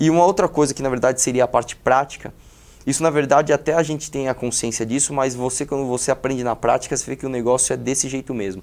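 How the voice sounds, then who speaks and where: A man speaks at a fairly quick pace. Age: 20s. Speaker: YouTuber, political activist. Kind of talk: interview. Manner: hesitant with many repetitions.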